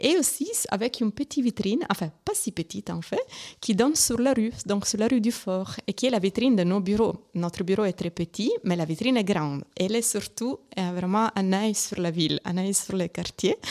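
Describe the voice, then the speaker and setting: A woman with an Italian accent speaks at a moderate pace on a very clean recording with a silent background. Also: medium pitch for a woman, ordinary pitch variation, dry, close sound with no echo. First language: Italian (speaking French). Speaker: arts organisation member. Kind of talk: interview. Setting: live radio broadcast at exhibition venue. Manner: halting.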